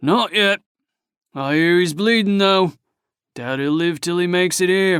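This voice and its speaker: A man puts on a character voice at a high pitch. He keeps a moderate pace with long, frequent pauses. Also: ordinary pitch variation. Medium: read story. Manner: crude, boastful.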